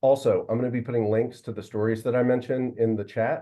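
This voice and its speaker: A man with an American accent, medium pitch, and monotone, flat intonation. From Virginia. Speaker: science communications officer. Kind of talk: presentation. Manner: fast.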